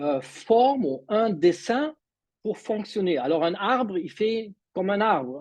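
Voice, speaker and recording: The man's voice is high, with a non-native accent. He talks at a fairly slow pace with lively intonation. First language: not French (speaking French). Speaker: mindset coach. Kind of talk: online presentation. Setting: video call. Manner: halting.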